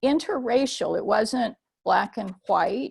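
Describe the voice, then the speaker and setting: A woman with an American accent speaks with vocal fry and ordinary pitch variation. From US military bases, Japan-born mixed-race. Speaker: theologian. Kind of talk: webinar talk. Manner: hesitant, many fillers.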